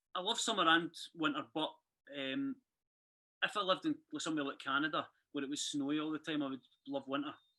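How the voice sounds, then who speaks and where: A woman with a Glasgow accent, very deep, low pitch, bright, sharp tone, ordinary pitch variation, very fast pace and long, frequent pauses. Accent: Scottish (Glasgow). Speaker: country music duo member. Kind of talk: casual chat.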